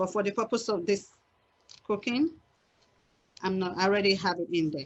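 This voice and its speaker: A voice in a Nigerian accent with ordinary pitch variation. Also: woman. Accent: Nigerian (Yoruba) English. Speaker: cooking instructor. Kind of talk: cooking class demonstration.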